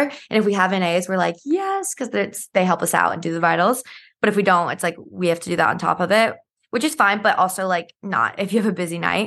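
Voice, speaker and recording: Against a quiet background, a woman at medium pitch talks at a very fast pace with ordinary pitch variation. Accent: American. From US South, Georgia (north of Atlanta). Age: 20s. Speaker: pediatric nurse and social media influencer. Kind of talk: casual chat.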